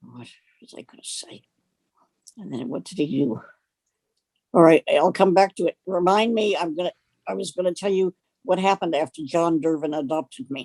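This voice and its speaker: A woman's dark, mellow voice with a fairly low pitch, lively intonation, a moderate pace, long, frequent pauses and big swings in loudness, in a dry, close sound with no echo. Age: 80s+. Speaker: retired communication professor. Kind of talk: interview about her life. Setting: video interview, lying with neck on pillow. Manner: halting.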